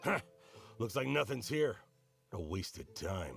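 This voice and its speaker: A man's raspy, put-on character voice, very deep and low in pitch, with very wide pitch swings. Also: moderate pace. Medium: video game.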